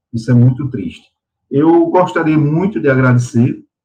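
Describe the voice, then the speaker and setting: A man speaking with music in the background. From Patos, sertão of Paraíba, Brazil. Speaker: lawyer and environmentalist. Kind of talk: interview.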